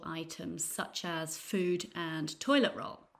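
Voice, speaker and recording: In an East Midlands accent, a woman speaks at a fairly slow pace with ordinary pitch variation. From Nottingham, England. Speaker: English teacher and podcast host. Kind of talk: news reading for English learners. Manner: clear, measured pace.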